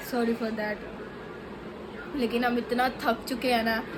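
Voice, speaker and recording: Against noticeable background noise, a woman with a high pitch talks at a fairly slow pace. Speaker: family vlogger. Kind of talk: vlog commentary. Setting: restaurant.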